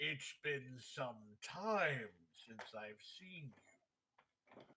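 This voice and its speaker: A man speaks in a booming, put-on character voice at a medium pitch. His pace is very slow. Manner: slow, ponderous.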